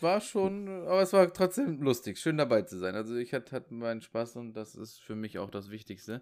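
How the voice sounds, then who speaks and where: Speaking at a moderate pace in a medium pitch, a man makes very wide pitch swings and big swings in loudness on a very clean recording with a silent background. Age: 30s. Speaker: podcast guest. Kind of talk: casual chat.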